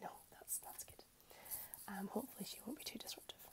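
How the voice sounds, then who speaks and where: Whispering at a very fast pace, a woman speaks. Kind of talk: client consultation talk. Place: home room. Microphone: earbuds.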